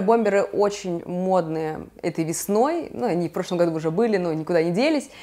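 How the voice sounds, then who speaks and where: Faint background music can be heard. Over it, a woman talks. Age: 30s. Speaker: fashion stylist, video blogger; video blogger. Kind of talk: casual vlog, styling tutorial. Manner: animated. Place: home room. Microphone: lapel.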